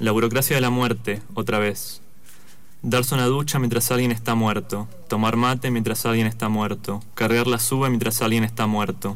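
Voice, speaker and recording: A man with a medium pitch speaks at a moderate pace in a monotone, flat intonation. His loudness stays very even, and audible room echo surrounds the voice. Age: 20s. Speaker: author. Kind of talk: reading aloud.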